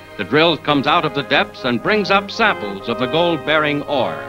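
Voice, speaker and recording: A man's pitch swings very widely as he talks at a moderate pace, with music in the background. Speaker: newsreel narrator. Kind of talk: 1940s newsreel narration.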